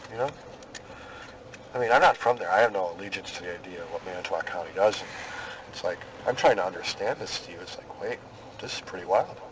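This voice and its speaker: Against noticeable background noise, a man with a fairly low pitch talks at a very fast pace with ordinary pitch variation, big swings in loudness and long, frequent pauses. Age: 40s. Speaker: police investigator. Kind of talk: police interview. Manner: casual, friendly.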